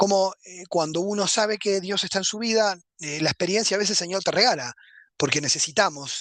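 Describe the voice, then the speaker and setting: The speaker has a Uruguayan accent and a fairly quick pace. The background is quiet. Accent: Rioplatense Spanish (Uruguayan). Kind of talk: lecture. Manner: fast.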